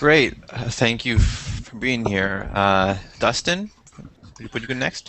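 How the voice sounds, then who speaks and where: Noticeable background noise sits behind a man with an American accent who talks at a fairly slow pace, with ordinary pitch variation and big swings in loudness. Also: medium pitch for a man. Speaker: video chat host. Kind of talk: casual group video chat. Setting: video call. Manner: stutters.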